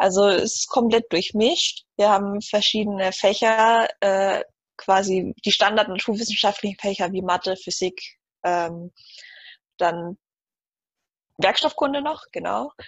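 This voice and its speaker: A woman's medium-pitched voice at a fairly slow pace, with ordinary pitch variation and long, frequent pauses. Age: 20s. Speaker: student. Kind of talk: interview.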